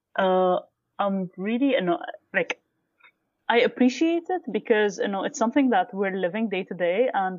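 The pace here is moderate. A woman speaks at a fairly high pitch. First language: not Arabic (Arabic learned later). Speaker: guest researching podcast language. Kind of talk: conversational interview.

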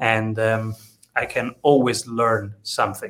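A man talks with a non-native accent. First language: not English. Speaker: podcast host. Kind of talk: interview. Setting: video call.

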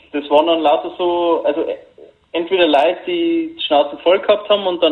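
With an ordinary speaking voice, a man talks in a fairly high pitch. His pace is moderate and his intonation fairly even. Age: 20s. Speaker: long covid patient. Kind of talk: interview. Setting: phone call.

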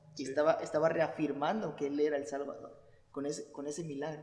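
Amid audible room echo, a man talks at a very fast pace with a fairly high pitch and monotone, flat intonation. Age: 20s. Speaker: church youth podcast host. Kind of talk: casual chat.

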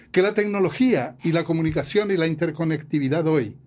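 Fairly high in pitch, a man talks at a moderate pace in an ordinary speaking voice. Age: 60s. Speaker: professor and musician. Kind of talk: interview.

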